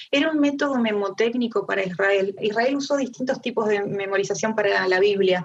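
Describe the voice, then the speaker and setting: With an Argentine accent, a woman speaks at a fairly quick pace and medium pitch, with ordinary pitch variation, very even loudness and hardly any pauses. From Argentina. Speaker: Bible teacher. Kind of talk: Bible study talk. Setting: video call.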